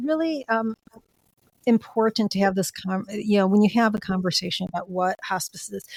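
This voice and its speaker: A woman's normal speaking voice, fairly high in pitch, with an American accent, ordinary pitch variation, a moderate pace, and a dry, close sound with no echo. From US Midwest, Chicago. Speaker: end of life doula. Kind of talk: interview conversation.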